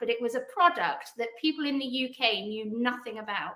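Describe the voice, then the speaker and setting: A woman speaks at a moderate pace with a British accent. Her pitch is high, with ordinary variation. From England. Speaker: PR agency founder. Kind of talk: podcast interview.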